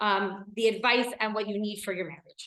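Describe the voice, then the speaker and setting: A woman with an American accent speaks loudly and fairly quickly in a passionate, bright and sharp tone, her pitch fairly high with ordinary variation. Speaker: women's educator and speaker. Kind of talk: lecture. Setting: stage with live audience. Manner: loud, passionate.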